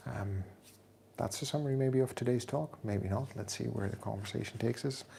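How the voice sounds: A man's medium-pitched voice with a dark, mellow tone and vocal fry, ordinary pitch variation, a fairly quick pace and audible room echo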